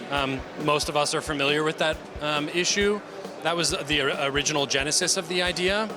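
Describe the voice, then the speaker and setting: A man with an American accent, fairly high-pitched, at a fairly quick pace, with fairly even intonation, very even loudness and noticeable background noise. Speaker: company founder and CEO. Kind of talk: product demo; trade show interview. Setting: trade show stand. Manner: hesitant, many fillers.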